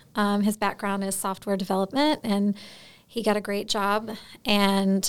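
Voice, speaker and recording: The recording is very clean with a silent background. A woman speaks at a fairly slow pace in a fairly high pitch. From Florida, US South. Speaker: speech pathologist and business owner. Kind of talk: interview conversation.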